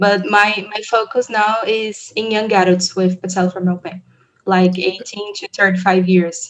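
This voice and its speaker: A woman with a Portuguese accent at a moderate pace, medium in pitch and monotone, flat in intonation. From Brazil. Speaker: physiotherapist researcher. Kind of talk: interview. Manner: halting, hesitant.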